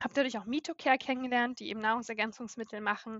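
Fairly high in pitch, a woman talks in a normal speaking voice with ordinary pitch variation. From northern Germany, Baltic coast. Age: 30s. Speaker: patient with a chronic illness. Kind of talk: interview. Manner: frequent filler sounds.

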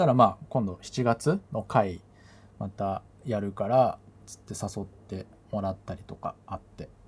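A man speaks in a relaxed tone at a fairly slow pace, with a fairly low pitch and ordinary pitch variation. His voice is somewhat breathy, with big swings in loudness. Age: middle-aged. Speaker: podcast host and DJ. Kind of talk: casual solo talk. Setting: bedroom home recording. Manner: relaxed, filler-heavy.

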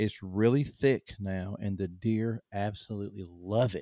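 A man with a Southern US accent speaks at a fairly low pitch, his tone dark and mellow and his intonation fairly even. The sound is dry and close with no echo, and the recording is very clean over a silent background. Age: 50s. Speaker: hunter and author. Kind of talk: casual interview conversation. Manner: halting, many fillers and repeats.

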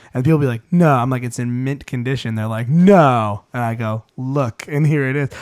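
With an unremarkable speaking voice, a man talks at a moderate pace and medium pitch, with ordinary pitch variation and hardly any pauses, in a dry, close sound with no echo. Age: 20s. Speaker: podcast host. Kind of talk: casual chat.

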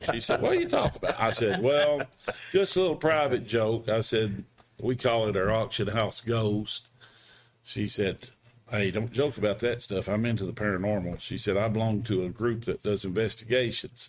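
A man in a plain, everyday voice, at a moderate pace and medium pitch with ordinary pitch variation. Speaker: wrestling announcer and auction house owner. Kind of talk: storytelling interview.

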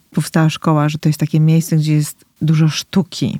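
A woman speaks at a moderate pace and a very deep, low pitch, her dark, mellow tone dry and close with no echo. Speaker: podcast host. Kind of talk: interview, casual conversation.

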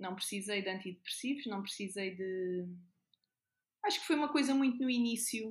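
Here a woman talks at a medium pitch with ordinary pitch variation and a somewhat breathy sound. She leaves long, frequent pauses. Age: 30s. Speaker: nurse. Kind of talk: casual interview.

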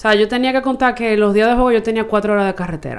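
A woman's fairly high voice at a very fast pace. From Santo Domingo, Dominican Republic. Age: 20s. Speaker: baseball team communications staffer. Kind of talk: casual chat.

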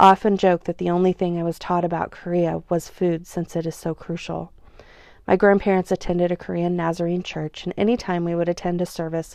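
A woman with an American accent talks at a fairly quick pace in a fairly low pitch, her tone dark and mellow. Her intonation is monotone and flat, over a quiet background. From Oklahoma, US. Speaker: podcast host. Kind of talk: casual monologue; reading aloud of personal essay.

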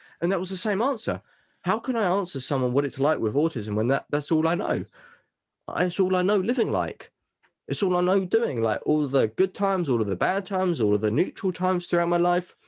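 A high-pitched man talks at a fairly quick pace with very wide pitch swings. The sound is dry and close with no echo, over a quiet background. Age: 20s. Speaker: mentalist and business coach. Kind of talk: casual chat.

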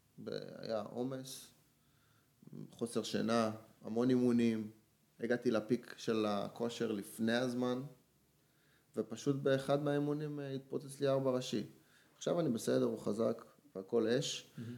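Dark and mellow in tone, a man speaks with fairly even intonation and long, frequent pauses. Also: medium pitch for a man, moderate pace. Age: 20s. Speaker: strength coach and weightlifter. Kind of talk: casual chat.

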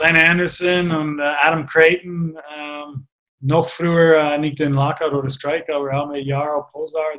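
This man has a fairly high pitch and speaks in an English accent at a fairly slow pace. His intonation stays monotone and flat. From Canada. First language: English (speaking German). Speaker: former ice hockey player and coach. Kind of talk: interview. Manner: halting, many fillers.

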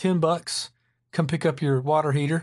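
There's a somewhat breathy quality to this man's voice. He talks at a fairly high pitch. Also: quiet background. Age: 40s. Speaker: podcast host. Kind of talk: solo casual monologue.

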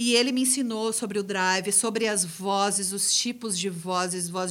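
This woman talks at a moderate pace with fairly even intonation and hardly any pauses. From Gramado, Rio Grande do Sul, Brazil. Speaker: rock band singer. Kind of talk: casual interview.

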